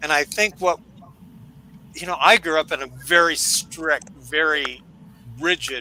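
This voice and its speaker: A man speaks at a fairly slow pace in a fairly high pitch. Noticeable background noise runs behind him. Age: 70s. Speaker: show's technical producer and panel regular. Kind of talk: casual panel chat.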